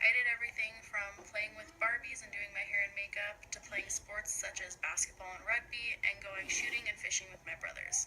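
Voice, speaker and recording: Talking at a moderate pace with hardly any pauses, a woman with a fairly high pitch and fairly even intonation swings widely in loudness over noticeable background noise. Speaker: student. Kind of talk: scripted narration.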